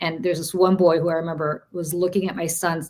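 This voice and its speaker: A woman with an American accent speaks at a fairly quick pace in a fairly low, monotone voice with flat intonation. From Soviet Union, emigrated to US as child. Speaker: political strategist. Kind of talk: live political panel discussion.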